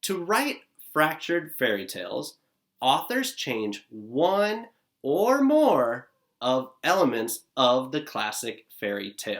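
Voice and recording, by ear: Speaking slowly at a medium pitch, a man shows very wide pitch swings and a fairly bright tone.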